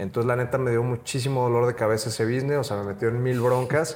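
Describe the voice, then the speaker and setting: A man talks with fairly level intonation while noticeable noise runs in the background. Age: young. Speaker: entrepreneur. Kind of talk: casual interview.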